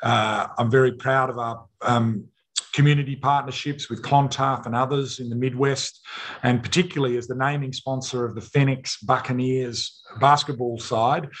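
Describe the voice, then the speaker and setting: A man in an Australian accent, medium-pitched and somewhat breathy, monotone and flat at a moderate pace, against a quiet background. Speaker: mining company chairman; presenter. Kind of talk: company presentation. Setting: remote video link from a conference. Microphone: video call.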